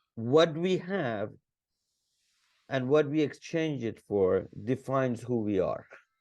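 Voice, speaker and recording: A man at a very slow pace, with lively intonation and long, frequent pauses, against a quiet background. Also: medium pitch for a man. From Iran. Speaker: entrepreneur and business consultant. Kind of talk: podcast interview. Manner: halting, many repetitions.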